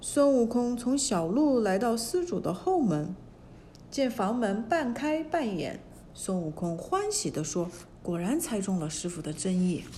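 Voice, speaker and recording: Her voice is somewhat breathy. The woman's pitch swings very widely. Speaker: storyteller narrator. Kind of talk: fairy-tale narration for children, reading a classic story aloud.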